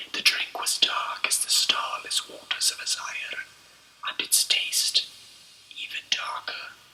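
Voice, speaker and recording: Whispering at a fairly slow pace, a man leaves long, frequent pauses over noticeable background noise. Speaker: author reading his own book. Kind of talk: ASMR audiobook read-through of fantasy novel. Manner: whispered, soft.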